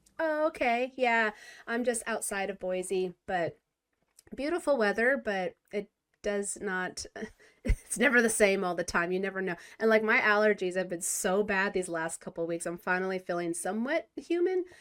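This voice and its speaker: A woman with an American accent, an unremarkable speaking voice, medium pitch and lively intonation, at a moderate pace. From California. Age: 40s. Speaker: podcast host. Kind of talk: casual interview chat.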